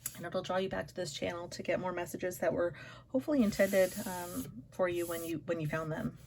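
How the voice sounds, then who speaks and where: A woman puts on a raspy character voice, fairly low in pitch, with ordinary pitch variation. She talks at a very fast pace over clear background noise. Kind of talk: casual, unedited video talk. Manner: stuttering, hesitant.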